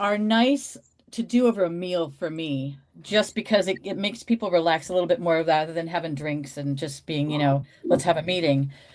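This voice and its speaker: Fairly quick and lively in intonation, a woman talks at a fairly low pitch in a plain, everyday voice. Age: 60s. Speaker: reseller. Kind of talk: casual chat.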